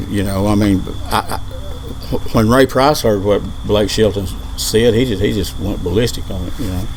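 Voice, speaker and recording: A man at a moderate pace and fairly low pitch, with ordinary pitch variation, audible room echo and noticeable background noise. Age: 60s. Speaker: country singer. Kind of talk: casual interview. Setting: outdoors on a patio. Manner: halting, repeats words.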